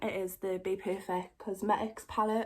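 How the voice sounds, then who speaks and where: A woman with a Geordie accent. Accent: Geordie (Newcastle). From northern England, Newcastle. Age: 20s. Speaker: makeup YouTuber. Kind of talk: casual chat, makeup tutorial. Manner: chatty.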